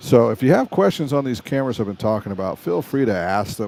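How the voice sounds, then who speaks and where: This man's pitch moves with ordinary variation. His tone is dark and mellow. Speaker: camera and video production livestreamer. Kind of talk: live stream tutorial. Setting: live stream at a resort casino. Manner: casual, conversational.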